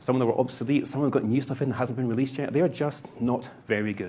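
A very fast, somewhat breathy male voice at medium pitch. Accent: Scottish. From Scotland. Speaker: conference speaker, solution architect. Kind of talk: presentation, conversational.

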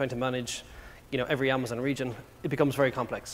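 With an Irish accent, a man of medium pitch talks at a very fast pace. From Ireland. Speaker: tech company product executive. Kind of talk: conference talk. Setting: stage with audience. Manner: fast talker.

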